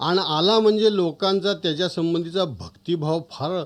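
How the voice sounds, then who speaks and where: Here is a man with a plain, everyday voice. His pitch variation is ordinary. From Maharashtra. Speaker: author. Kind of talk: storytelling.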